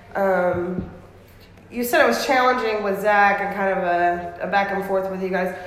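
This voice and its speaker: With an American accent, the speaker talks at a moderate pace with ordinary pitch variation over noticeable background noise. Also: woman, medium pitch for a woman. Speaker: podcast host. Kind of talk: casual interview chat. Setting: restaurant.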